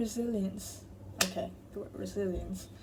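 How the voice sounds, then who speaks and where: A woman speaks at a very slow pace, and the room echo is audible. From Thailand. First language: Thai. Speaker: tarot reader. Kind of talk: tarot reading to camera. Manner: casual, self-correcting.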